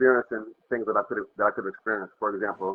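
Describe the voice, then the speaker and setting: A man with an American accent, medium pitch and fairly even intonation. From New York State (Hudson Valley). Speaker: dancer and singer. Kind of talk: interview. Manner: fast.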